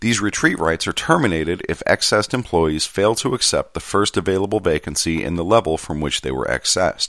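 A man with a very deep, low voice speaks at a fairly quick pace with hardly any pauses, in a dry, close sound with no echo. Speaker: podcast host reading a postal union contract manual. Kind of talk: reading aloud. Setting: home recording on a laptop. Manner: lively, not monotonous.

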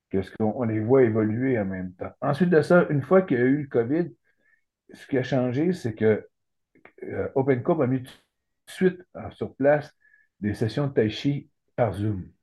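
A man speaks with lively intonation and a somewhat breathy voice. His loudness swings widely, and he leaves long, frequent pauses. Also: medium pitch for a man, moderate pace. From Quebec, Saguenay–Lac-Saint-Jean. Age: 60s. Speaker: retired lawyer, cancer patient. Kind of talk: interview. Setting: video call. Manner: halting.

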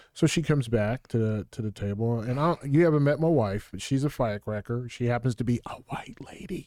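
A man's unremarkable speaking voice at medium pitch, fairly quick with hardly any pauses and ordinary pitch variation, in a very clean recording, silent background. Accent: American. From US military bases, grew up in Germany. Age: 50s. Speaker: state politician, army veteran. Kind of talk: casual interview. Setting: small studio, sitting knee to knee.

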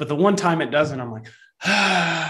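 A man with a Texan accent at a fairly quick pace. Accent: Texan, Southern US. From Texas. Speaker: podcast co-host. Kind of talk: casual interview conversation.

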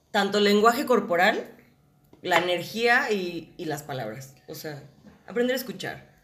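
Speaking fairly slowly at a medium pitch, a woman makes very wide pitch swings and big swings in loudness, with audible room echo around her. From Mexico, Guadalajara. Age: 20s. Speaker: actress. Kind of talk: casual chat.

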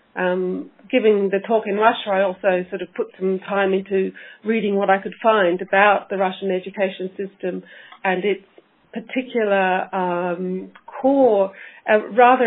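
A woman speaks at moderate speed, her medium-pitched voice keeping a fairly level intonation. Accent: Australian. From Australia. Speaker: teacher educator, academic researcher. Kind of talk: interview. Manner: halting, many fillers.

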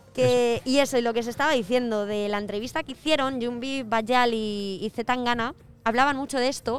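Moderate pace and fairly even intonation. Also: woman. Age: 20s. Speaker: guest co-presenter. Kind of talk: casual chat.

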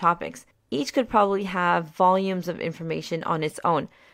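Very clean, with a silent background, this clip has a woman speaking in an American accent. Her pitch is medium and her pace fairly quick. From US, Maryland. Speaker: podcast host. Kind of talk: scripted narration.

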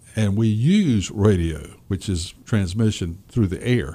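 This man's voice has a fairly low pitch, a dark, mellow tone and lively intonation, moving at a moderate pace in a very clean recording with a silent background. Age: 70s. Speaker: radio media company owner. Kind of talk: interview. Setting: studio.

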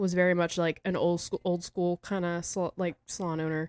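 A woman with a fairly low pitch and a plain, everyday voice speaks at a moderate pace, recorded very cleanly with a silent background and a dry, close sound with no echo. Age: 30s. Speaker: hairstylist and educator. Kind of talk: casual chat. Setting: studio.

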